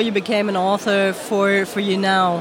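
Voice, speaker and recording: Against noticeable background noise, a woman of medium pitch speaks at a moderate pace. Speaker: interpreter. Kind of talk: interpreting.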